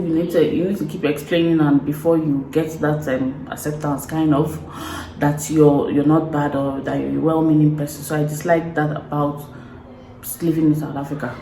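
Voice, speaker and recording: With a Nigerian accent, a woman talks fairly quickly in a very deep, low pitch. Her intonation is flat and monotone, and background noise is noticeable. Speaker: vlogger. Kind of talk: casual talk to camera.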